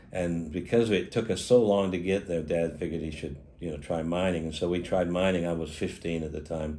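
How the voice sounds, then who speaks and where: A man speaks at a moderate pace with a very deep, low pitch and a dark, mellow tone. His intonation stays fairly even, and the room echo is audible. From Australia. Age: 70s. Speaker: opal miner and dealer. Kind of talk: interview. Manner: halting.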